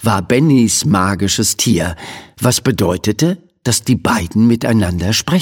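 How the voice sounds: Someone reads in a natural voice, giving the lines lively intonation.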